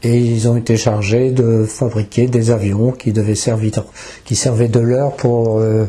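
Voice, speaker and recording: Against noticeable background noise, a man speaks very slowly at a medium pitch with monotone, flat intonation. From northern France. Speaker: eyewitness. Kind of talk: interview testimony.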